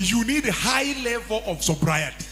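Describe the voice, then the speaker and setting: A man's high-pitched voice swings very widely in pitch while noticeable background noise carries on around him. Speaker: pastor. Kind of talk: sermon.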